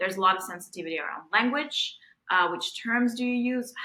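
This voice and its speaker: A woman speaks with a slight Russian accent and a bright, sharp tone. Her pitch variation is ordinary. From Belarus. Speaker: tech innovation strategist. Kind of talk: interview conversation.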